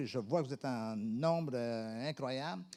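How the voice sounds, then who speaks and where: A man with a Quebec accent at a moderate pace, ordinary pitch variation, on a very clean recording with a silent background. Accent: Québécois French. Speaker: pastor. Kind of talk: sermon. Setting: church.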